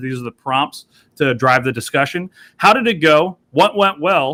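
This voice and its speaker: A man speaks at a fairly quick pace with lively intonation and a bright, sharp tone. The sound is dry and close, with no echo. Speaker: teacher leading professional development session. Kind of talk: online workshop facilitation. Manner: fast.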